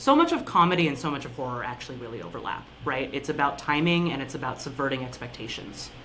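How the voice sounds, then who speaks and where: With an American accent, a voice is heard through noticeable background noise. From US West, Reno, Nevada. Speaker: improv performer. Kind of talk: podcast interview.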